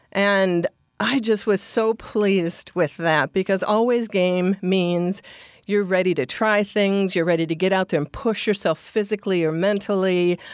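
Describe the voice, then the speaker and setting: A woman with an American accent speaks at a moderate pace in a plain, everyday voice of medium pitch, with a dry, close sound with no echo. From Minnesota, US Midwest. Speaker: advertising agency CEO. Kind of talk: interview.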